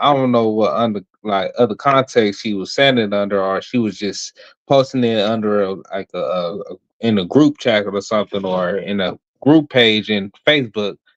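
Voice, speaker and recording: With an American accent, a man speaks at a moderate pace in a medium pitch, in a plain, everyday voice. The sound is dry and close with no echo, over a quiet background. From Los Angeles, US. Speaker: live stream guest. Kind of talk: casual chat.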